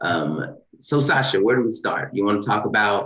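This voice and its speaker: Speaking with a Southern US accent, a man keeps a medium pitch and ordinary pitch variation. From US South (east Texas, Louisiana). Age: 30s. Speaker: lawyer and leadership nonprofit co-founder, webinar panelist. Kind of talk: panel discussion. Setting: video call webinar. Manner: many filler words (um).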